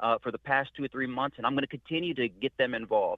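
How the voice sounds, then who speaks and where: At a very fast pace, a man with an American accent speaks at a medium pitch. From South Texas. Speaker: Senate candidate, army veteran. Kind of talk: radio interview. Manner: halting, many repeated words.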